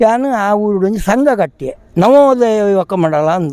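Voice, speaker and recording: With noticeable background noise, a man speaks at a high pitch with lively intonation. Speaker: kambala buffalo race team owner. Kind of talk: interview.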